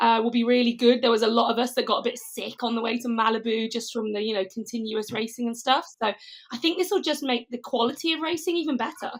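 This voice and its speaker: At a very fast pace, a woman talks in a high pitch with ordinary pitch variation. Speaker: professional triathlete. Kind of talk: casual chat.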